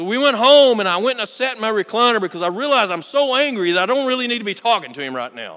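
Projecting a raised voice, a man speaks at a very fast pace. His tone is bright and sharp, and his pitch is high. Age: 50s. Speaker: pastor. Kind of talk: sermon. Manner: halting.

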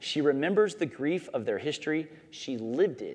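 This man's voice sits fairly high and swings very widely in pitch. He talks at a moderate pace, and room echo can be heard. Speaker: youth pastor. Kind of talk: sermon.

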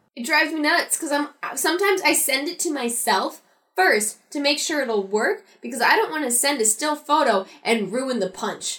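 A woman at a high pitch talks at a moderate pace with hardly any pauses and very wide pitch swings. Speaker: podcast co-host. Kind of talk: casual chat.

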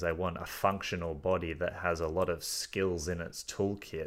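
A man's very deep, low voice with an Australian accent at a moderate pace, on a very clean recording with a silent background. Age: 20s. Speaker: podcast host. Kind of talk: casual chat.

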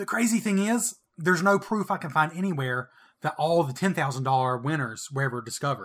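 This man talks at a very fast pace in a Southern accent. His pitch is fairly high and swings very widely. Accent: Southern, noticeable on playback. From US South. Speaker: retro video game podcast co-host. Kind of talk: casual chat.

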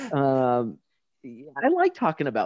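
A man with a fairly high pitch speaks in an unremarkable speaking voice with lively intonation, recorded with a dry, close sound and no echo. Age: 40s. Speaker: podcast host. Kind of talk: casual interview chat. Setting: remote interview.

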